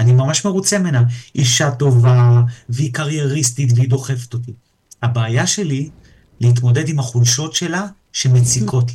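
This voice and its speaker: Somewhat breathy and dark, mellow in tone, a man's medium-pitched voice moves at a moderate pace with ordinary pitch variation. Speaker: entrepreneur and personal coach. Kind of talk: casual chat. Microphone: too quiet at first.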